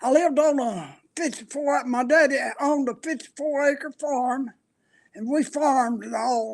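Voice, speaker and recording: A man speaks in a rural Appalachian accent at an extremely high pitch. His pace is fairly slow. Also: ordinary pitch variation. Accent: rural Appalachian Southern US. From US South, western North Carolina (McDowell County). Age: 80s+. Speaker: elderly interviewee. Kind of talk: oral history interview. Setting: senior center. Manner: halting, with frequent fillers.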